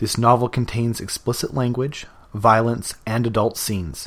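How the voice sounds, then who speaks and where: This is a plain, everyday voice with a Canadian accent, speaking at a moderate pace on a very clean recording with a silent background. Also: man. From Canada, Vancouver area. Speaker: podcast novelist. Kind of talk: scripted introduction.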